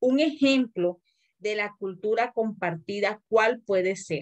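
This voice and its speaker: A woman speaks in a plain, everyday voice at a medium pitch. Her pace is fairly slow and her intonation lively. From Colombian Caribbean coast. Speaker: teacher. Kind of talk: lecture.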